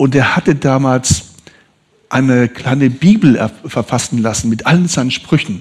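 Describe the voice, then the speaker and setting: A man's unremarkable speaking voice, with ordinary pitch variation. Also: medium pitch for a man, fairly slow pace. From northern Italy, raised in southern Hesse. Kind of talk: testimony. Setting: church service.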